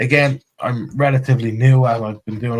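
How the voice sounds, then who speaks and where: A man with an Irish accent, medium pitch, fairly quick pace and fairly even intonation. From Ireland. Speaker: crypto community space host. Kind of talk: casual chat.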